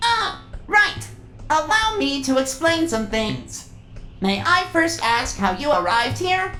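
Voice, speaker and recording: Over clear background noise, a put-on character voice sounds female. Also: fairly slow pace. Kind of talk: grandiose prophetic speech. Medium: fan dub. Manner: formal, stilted, no contractions.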